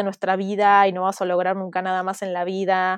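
A woman at medium pitch talks at a moderate pace, the sound dry and close with no echo over a quiet background. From Argentina, Buenos Aires (teen years in Mexico). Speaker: entrepreneur, community founder. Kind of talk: interview.

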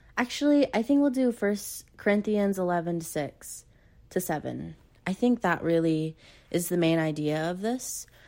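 A woman at a moderate pace and fairly low pitch, with lively intonation, a dark, mellow tone and a very clean recording over a silent background. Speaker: solo podcast host. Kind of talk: casual solo podcast talk.

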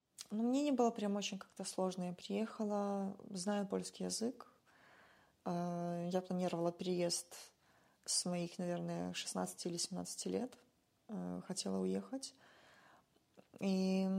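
A woman's dark, mellow, medium-pitched voice at a very slow pace, with long, frequent pauses. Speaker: musician and former social worker. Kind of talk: casual interview chat. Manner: animated.

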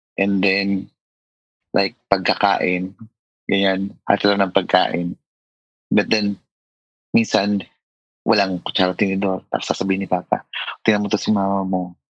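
A man speaks in a fairly low pitch with monotone, flat intonation, very even loudness and long, frequent pauses. The sound is dry and close with no echo. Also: moderate pace. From Philippines. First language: Filipino. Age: 40s. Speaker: schoolteacher. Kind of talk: therapy interview.

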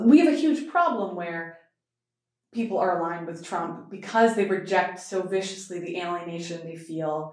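Speaking in an unremarkable speaking voice, a woman keeps a medium pitch, ordinary pitch variation, and a moderate pace. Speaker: law student.

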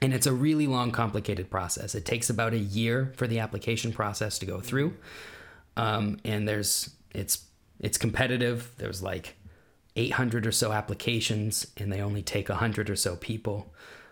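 Talking at a fairly quick pace, a man with an American accent keeps his fairly low pitch in a fairly even intonation. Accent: American, thick on complex topics. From Kansas, US. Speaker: teacher and designer living in Germany. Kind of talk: casual chat. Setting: video call.

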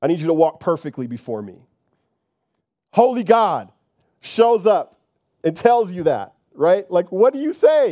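In a very clean recording with a silent background, a man with a high voice and a warm, animated tone speaks at a fairly slow pace, with very wide pitch swings, big swings in loudness, and long, frequent pauses. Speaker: preacher. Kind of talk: sermon, preacher in full flow with call-and-response. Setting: church. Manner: animated, emphatic, dramatizing scripture with colloquial asides; conversational and warm, addressing congregation directly.

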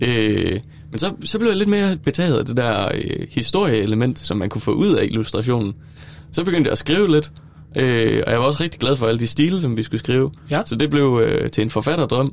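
A man speaks at a moderate pace in a medium-pitched voice that swings very widely in pitch. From Denmark, Silkeborg. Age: 20s. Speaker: student teacher. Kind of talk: casual chat. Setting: studio. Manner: halting.

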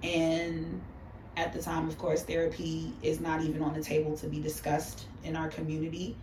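With an American accent, a woman talks at a moderate pace over noticeable background noise. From New York City. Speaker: makeup artist.

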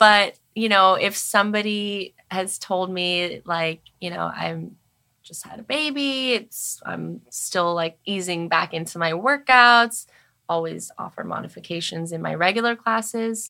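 A woman's medium-pitched voice in a Californian accent, bright and sharp in tone, fairly slow, with lively intonation and big swings in loudness, on a very clean recording with a silent background. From Los Angeles, San Fernando Valley. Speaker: pilates instructor and studio founder. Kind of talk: casual chat.

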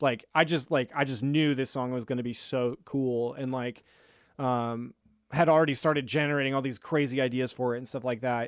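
A man with a Midwestern American accent and a fairly high pitch, at a moderate pace with fairly even intonation, on a very clean recording with a silent background. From Lincoln, Nebraska. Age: 30s. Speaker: music producer. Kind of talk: casual chat. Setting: home studio.

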